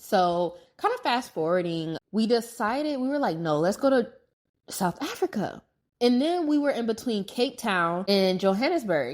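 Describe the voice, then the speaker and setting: On a very clean recording with a silent background, a woman with an American accent talks at a moderate pace and fairly high pitch, her pitch swinging very widely. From United States. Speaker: podcast host. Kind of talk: casual travel storytelling monologue. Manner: conversational, filler-heavy.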